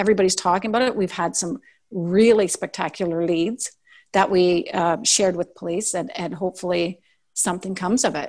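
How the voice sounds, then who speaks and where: A woman with a Canadian accent and a normal speaking voice talks at a fairly quick pace. Her medium pitch varies in an ordinary way, and the background is quiet. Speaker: podcaster. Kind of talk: casual interview.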